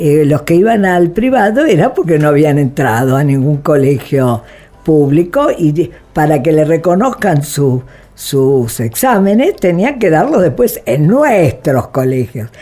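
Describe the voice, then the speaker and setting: Music plays in the background as the voice moves at a very slow pace. Its pitch swings very widely while its loudness stays very even. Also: woman. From Argentina, Buenos Aires. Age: 80s+. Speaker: human rights activist. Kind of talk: interview. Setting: studio.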